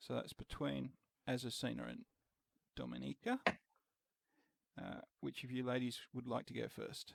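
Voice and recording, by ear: At a moderate pace and medium pitch, a man talks with vocal fry, little pitch movement and long, frequent pauses, in a dry, close sound with no echo.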